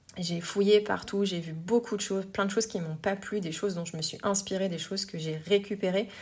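A woman with a medium-pitched voice speaks at a fairly quick pace and with fairly even intonation, in a very clean recording with a silent background. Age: 40s. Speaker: yoga teacher and podcast host. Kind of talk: personal monologue podcast. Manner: hesitant, many filler words.

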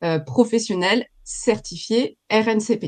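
A woman speaks at a very slow pace with a fairly high pitch. Her intonation is lively. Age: 40s. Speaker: professional coach. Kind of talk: interview.

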